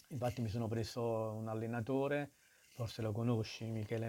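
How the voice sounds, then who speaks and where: In a dark, mellow tone, a man speaks at a medium pitch and fairly quick pace, his intonation monotone and flat. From Naples, Italy. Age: 60s. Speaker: guest, amateur triathlete and runner. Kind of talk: interview, conversational.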